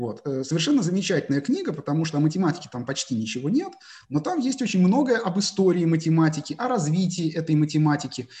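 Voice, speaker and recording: Talking at a very fast pace, this man has a fairly high pitch, a dark, mellow tone and lively intonation. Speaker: math teacher and research mathematician. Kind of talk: interview. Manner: hesitant, frequent filler sounds.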